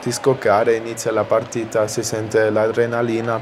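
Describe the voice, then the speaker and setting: A man speaks at a moderate pace and medium pitch, his intonation monotone and flat. Noticeable background noise runs underneath. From South Tyrol, Italy (Caldaro). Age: young. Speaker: ice hockey player and student. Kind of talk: interview.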